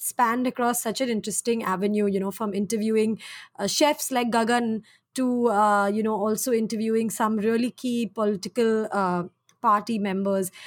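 A woman with a normal speaking voice, a fairly high pitch, ordinary pitch variation and a moderate pace. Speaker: podcast host. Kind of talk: casual interview chat. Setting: at home, remote recording during lockdown.

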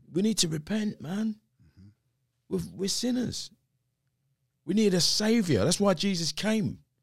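A man with a South London accent and a high pitch, at a fairly slow pace with long, frequent pauses and ordinary pitch variation, on a very clean recording with a silent background. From South East London. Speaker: pastor and former musician. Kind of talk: interview conversation.

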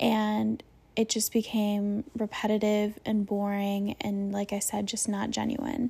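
A woman speaks slowly-ish, at a fairly slow pace, in a medium, dark and mellow voice that is somewhat breathy. Her intonation is flat and monotone, and the recording is very clean with a silent background. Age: 20s. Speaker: podcast host. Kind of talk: personal storytelling monologue. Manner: hesitant, many fillers.

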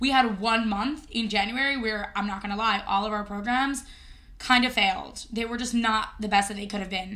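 A woman with a fairly high pitch speaks at a moderate pace in a bright, sharp and animated tone. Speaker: podcast co-host. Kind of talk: casual banter chat. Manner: joking, animated.

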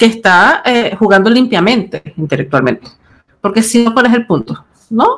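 At a fairly quick pace, a woman with a slight Chilean accent speaks at a fairly high pitch with vocal fry. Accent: Chilean-tinged. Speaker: podcast host and writer. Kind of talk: casual chat. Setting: video call.

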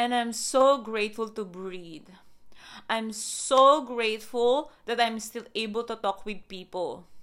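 A woman with a non-native accent speaks at a fairly slow pace and a fairly high pitch. The recording is very clean, with a silent background. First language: not English. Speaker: wellness podcast host. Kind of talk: motivational talk with guided breathing. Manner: warm, effusive.

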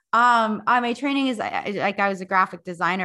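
Against a quiet background, a bright, sharp tone carries an Upper Midwest accent with ordinary pitch variation. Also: woman. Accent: Upper Midwest American. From North Dakota. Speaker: fitness instructor and podcast producer. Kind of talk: casual interview chat.

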